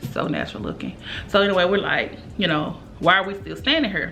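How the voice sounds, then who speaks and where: There is audible room echo and noticeable background noise. A woman at medium pitch speaks at a moderate pace. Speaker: beauty YouTuber. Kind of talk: casual makeup review vlog with storytime rant. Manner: loud; animated.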